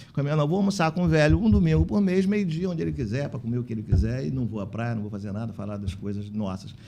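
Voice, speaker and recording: Over noticeable background noise, a man with a medium pitch rushes at a very fast pace with very wide pitch swings and hardly any pauses. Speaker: physician and elder-care facility manager, union president. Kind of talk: podcast interview.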